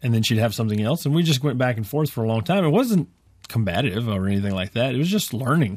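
A man with an American accent talks at a very fast pace, his medium pitch moving with lively intonation. The recording is very clean with a silent background. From West Texas. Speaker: farmer and podcaster. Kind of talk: radio interview. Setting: studio. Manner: joking, comic.

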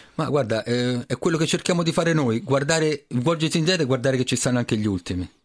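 A man talks at a very fast pace with very even loudness. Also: fairly high pitch for a man, lively intonation. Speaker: sports club president. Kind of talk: radio interview.

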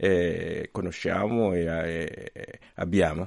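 A man is speaking against a quiet background. The sound is dry and close, with no echo. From Mozambique. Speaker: priest and radio journalist. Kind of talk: radio interview. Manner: halting.

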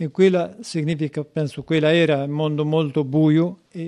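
A man speaks at a fairly slow pace with a Kurdish accent and a dark, mellow tone. His pitch is fairly high and his intonation fairly even. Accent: Kurdish-accented Italian, non-native. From Kurdish Turkey. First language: Kurdish (speaking Italian). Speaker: prison inmate. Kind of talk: interview reflection. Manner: halting.

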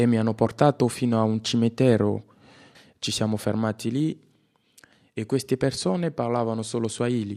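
A man speaks at a moderate pace with fairly even intonation and long, frequent pauses. The background is quiet. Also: medium pitch for a man. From DR Congo, Kinshasa. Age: 20s. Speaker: refugee actor. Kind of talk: personal testimony.

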